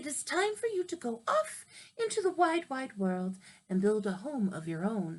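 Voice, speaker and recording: A woman puts on a character voice pitched fairly high. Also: moderate pace. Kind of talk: bedtime story. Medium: read story. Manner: warm, motherly.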